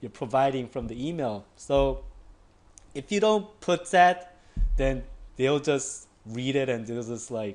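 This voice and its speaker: A man with a non-native accent, medium in pitch, fairly slow, with lively intonation and long, frequent pauses. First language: not English. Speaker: online marketing tutor. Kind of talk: tutorial. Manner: casual, filler-heavy with frequent 'like'; halting with repetitions.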